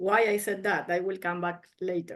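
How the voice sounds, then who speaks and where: A woman with a Spanish accent speaks over a quiet background. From Argentina. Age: 50s. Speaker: martial arts master. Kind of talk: self-introduction presentation.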